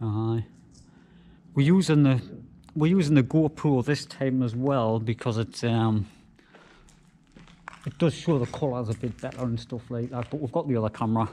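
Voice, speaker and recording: Through light background noise, a man with a dark, mellow tone speaks at a moderate pace with ordinary pitch variation and long, frequent pauses. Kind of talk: casual vlog chat. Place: factory. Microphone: phone near.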